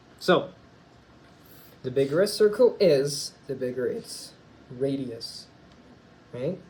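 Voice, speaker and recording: A somewhat breathy man with a fairly high pitch and ordinary pitch variation, at a very slow pace. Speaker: chemistry teacher. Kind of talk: recorded lesson. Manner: casual, hesitant.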